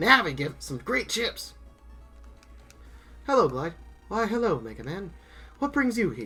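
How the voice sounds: A man uses a put-on character voice, high in pitch, with a bright, sharp tone and big pitch swings. He speaks at a fairly slow pace over faint music in the background.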